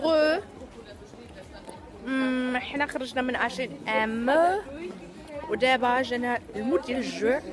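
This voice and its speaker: Amid noticeable background noise, a woman with a Moroccan accent speaks very slowly at a high pitch, with long, frequent pauses. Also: ordinary pitch variation. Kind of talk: casual vlog talk to camera.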